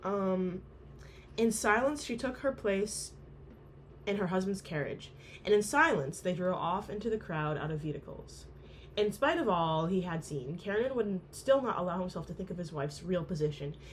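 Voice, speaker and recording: A woman's somewhat breathy voice, medium in pitch, at a moderate pace with lively intonation. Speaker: amateur book reader. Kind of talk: novel reading aloud.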